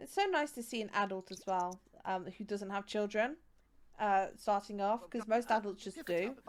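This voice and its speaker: The speaker talks at a moderate pace with a West Midlands accent and ordinary pitch variation. Loudness swings widely from moment to moment. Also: woman, medium pitch for a woman. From West Midlands, England. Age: 20s. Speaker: game streamer. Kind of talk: casual live-stream gameplay commentary.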